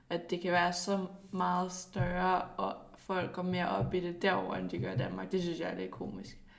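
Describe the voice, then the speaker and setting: A woman speaks at a moderate pace. Her voice carries audible room echo. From Denmark, Zealand. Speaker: professional footballer. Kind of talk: casual interview.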